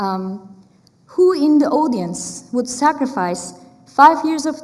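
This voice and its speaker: A woman with a Turkish accent speaks at a very slow pace with lively intonation. The room echo is audible, and there is noticeable background noise. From Turkey. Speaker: artist and academic panelist. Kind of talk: conference talk. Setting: stage with audience. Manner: conversational with frequent fillers.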